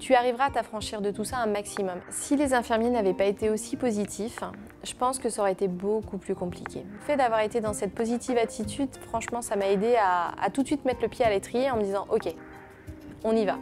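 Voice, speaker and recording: Noticeable background noise sits behind a woman's fairly high voice. She moves at a fairly quick pace with ordinary pitch variation. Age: 30s. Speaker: patient. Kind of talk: testimony. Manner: hesitant with frequent fillers.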